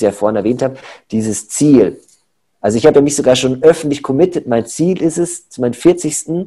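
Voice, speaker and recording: A man's dark, mellow tone with lively intonation. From Munich, Bavaria. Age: 30s. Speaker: personal trainer and coach. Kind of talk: casual interview.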